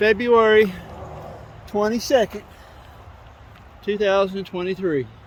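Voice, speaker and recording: A man speaks loudly in a high voice. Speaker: hiking vlogger. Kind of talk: vlog narration while hiking. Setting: outdoors on a trail. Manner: soft-spoken usually; loud in the woods.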